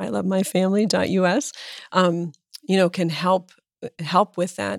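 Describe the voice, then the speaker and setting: A woman's fairly low voice with an American accent and vocal fry, at a moderate pace, ordinary pitch variation, and a dry, close sound with no echo. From Pennsylvania, US (Erie). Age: 50s. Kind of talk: interview conversation.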